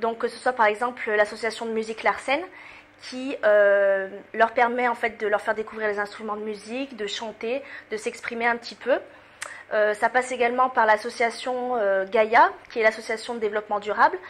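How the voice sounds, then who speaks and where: Fairly even in intonation but with big swings in loudness, a woman speaks at a moderate pace with fairly high pitch. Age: 20s. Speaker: student association president. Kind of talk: interview. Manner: hesitant, many fillers.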